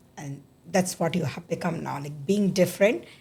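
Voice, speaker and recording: Her tone dark and mellow, a woman speaks at a moderate pace, somewhat breathy and fairly low in pitch. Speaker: podcast host. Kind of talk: interview. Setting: studio.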